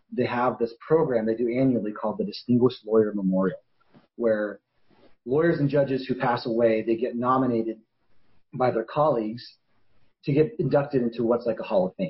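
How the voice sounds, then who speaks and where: A man with a medium pitch and ordinary pitch variation speaks somewhat breathily at a fairly quick pace, broken by long, frequent pauses. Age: 40s. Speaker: attorney and documentary maker. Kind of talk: interview answer.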